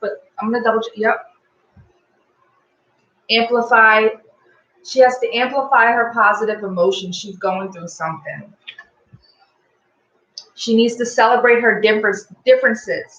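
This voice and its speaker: Speaking at a moderate pace and a fairly high pitch, a woman keeps a fairly even intonation but shows big swings in loudness and long, frequent pauses. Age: 30s. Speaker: tarot card reader. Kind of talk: live tarot reading. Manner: casual, hesitant.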